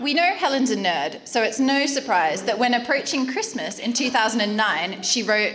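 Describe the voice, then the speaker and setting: A high-pitched woman with an Australian accent, very wide pitch swings and very even loudness, at a moderate pace with hardly any pauses, amid noticeable background noise and audible room echo. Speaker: wedding speaker. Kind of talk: wedding speech.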